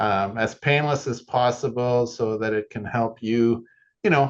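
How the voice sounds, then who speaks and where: A man with an ordinary speaking voice talks at a moderate pace and medium pitch, his intonation fairly even against a quiet background. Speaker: software product specialist. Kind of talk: tutorial.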